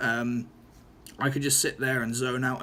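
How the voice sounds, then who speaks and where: Noticeable background noise sits behind a man of medium pitch. He speaks at a moderate pace with monotone, flat intonation. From Norfolk, England. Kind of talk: casual talk to camera. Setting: room with open window, background traffic noise. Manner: hesitant, stuttering.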